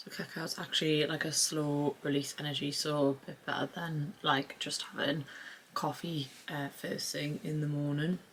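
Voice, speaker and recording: A woman with a British accent speaks at a moderate pace, her very deep, low voice monotone and flat. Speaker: lifestyle vlogger. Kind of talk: casual vlog chat. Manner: speaking quietly; hesitant, many fillers.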